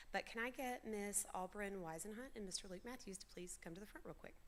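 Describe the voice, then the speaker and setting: Noticeable background noise accompanies a woman whose fairly high voice has ordinary pitch variation. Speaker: school program coordinator. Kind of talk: graduation ceremony emcee. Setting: stage with audience. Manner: loud.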